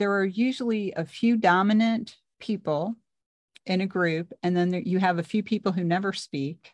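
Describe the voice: A woman speaks at a moderate pace in a slightly mellow tone. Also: medium pitch for a woman, fairly even intonation.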